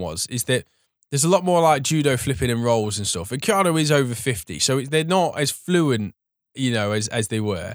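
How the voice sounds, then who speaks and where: On a very clean recording with a silent background, a man with an English accent and a medium pitch speaks at a fairly quick pace, his pitch swinging very widely. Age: 30s. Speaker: podcast host. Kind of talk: casual chat.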